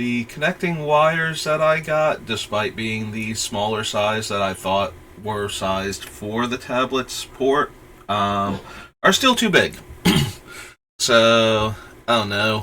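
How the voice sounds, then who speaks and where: Music plays in the background as a man speaks at a very slow pace. His pitch is medium, with ordinary variation. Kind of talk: casual livestream talk.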